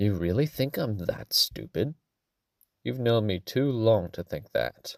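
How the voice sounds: A put-on character voice rasps with vocal fry and big pitch swings. It goes at a fairly slow pace, the sound dry and close with no echo. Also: man, fairly low pitch for a man.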